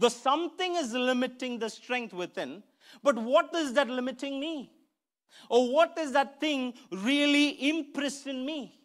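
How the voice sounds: A man's fairly bright tone with ordinary pitch variation, on a very clean recording with a silent background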